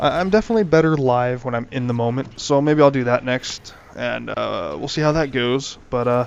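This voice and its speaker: Noticeable background noise accompanies speech at a moderate pace with ordinary pitch variation. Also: man. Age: young. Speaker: gaming youtuber. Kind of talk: gameplay commentary. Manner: halting, many fillers; casual.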